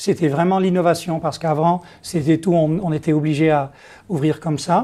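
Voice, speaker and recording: At a moderate pace, a man with a dark, mellow tone and fairly high pitch speaks with fairly even intonation, on a very clean recording with a silent background. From Netherlands. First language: Dutch (speaking French). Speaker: company executive. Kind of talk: interview. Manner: halting, many hesitations.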